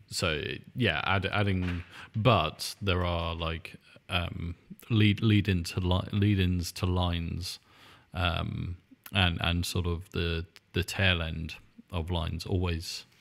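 Spoken at a very slow pace with long, frequent pauses, this voice in a British accent keeps a fairly even intonation. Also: man, very deep, low pitch for a man. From England. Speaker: podcast host and music producer. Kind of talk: casual chat. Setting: video call. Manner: quieter than usual. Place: home room.

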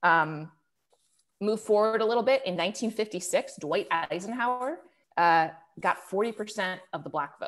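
A woman speaks at a very slow pace with an American accent and lively intonation. The background is quiet. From Cleveland, Ohio; Ohio. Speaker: political journalist. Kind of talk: webinar interview. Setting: online webinar. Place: home room. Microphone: earbuds.

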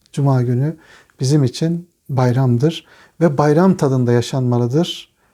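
This man's tone is dark and mellow, his pace fairly slow and his intonation fairly even. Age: 40s. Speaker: religious teacher. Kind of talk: religious talk answering interview questions.

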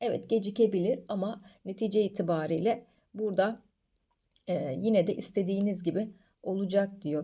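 A woman with a dark, mellow tone at medium pitch, with ordinary pitch variation and a moderate pace. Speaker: coffee fortune teller, video creator. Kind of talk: fortune reading monologue to camera.

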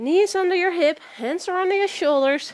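Against a quiet background, a woman talks fairly slowly as her pitch rises and falls very widely. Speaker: fitness instructor. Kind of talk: workout instruction. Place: home room.

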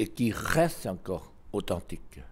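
A man in a Lao accent speaks with a dark, mellow tone. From Laos. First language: Lao (speaking French). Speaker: ambassador; interviewee. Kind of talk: interview; interview answer. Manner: halting, frequent hesitations. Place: home room. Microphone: handheld.

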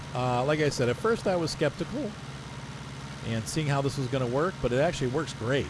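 A man at a fairly high pitch and fairly quick pace, with ordinary pitch variation and very even loudness, over noticeable background noise. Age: 40s. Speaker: gaming YouTuber. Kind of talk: gameplay commentary. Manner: casual, rambling narration.

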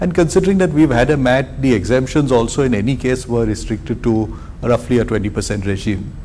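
A man talks at a fairly quick pace with hardly any pauses and lively intonation. His voice sits at medium pitch with a dark, mellow tone. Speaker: corporate panelist. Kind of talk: panel discussion.

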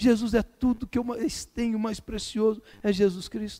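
A man talks at a moderate pace. The recording is dry and close, with no echo. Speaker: preacher. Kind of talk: sermon. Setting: church. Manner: exhortative, fervent, hammering urgent commands at the congregation; repetitive, rhythmic, building in short punchy lines.

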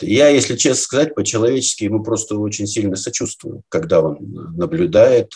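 A dark, mellow tone with vocal fry, a moderate pace and a quiet background. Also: man. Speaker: guest. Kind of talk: interview answer. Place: home room. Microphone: webcam.

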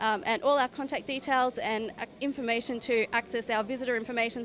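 Someone with an Australian accent speaks at a very fast pace over light background noise. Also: woman. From Queensland, Australia (Toowoomba); Queensland, Australia. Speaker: regional tourism promoter. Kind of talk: interview at trade show. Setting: trade show floor. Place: hall. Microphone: handheld.

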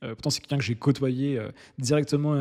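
The background is quiet as a man talks at a very fast pace. His tone is dark and mellow, his intonation fairly even. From France, Nancy; Lorraine, France. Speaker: entrepreneur and YouTuber; YouTuber. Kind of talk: storytelling monologue. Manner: hesitant, many fillers. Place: home room. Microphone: studio mic.

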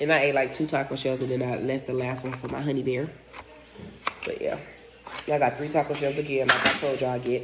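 A woman talks very fast while noticeable background noise runs underneath. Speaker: food vlogger. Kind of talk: casual mukbang vlog chat. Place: home room. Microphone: phone near.

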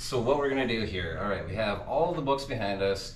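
With light background noise and audible room echo, a man talks at a fairly quick pace. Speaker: reseller. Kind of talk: casual vlog chat. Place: home room.

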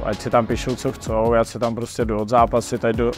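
Clear music plays in the background as a man speaks at a moderate pace, his voice dry with no echo. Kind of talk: interview answer. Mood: calm, determined. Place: gym.

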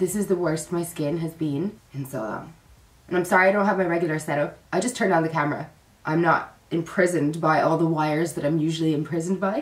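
With audible room echo behind her, a woman speaks in a fairly low voice at a fairly quick pace with fairly even intonation. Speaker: vlogger. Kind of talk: casual vlog chat. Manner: tired, poorly, low-energy voice. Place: home room. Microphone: phone near.

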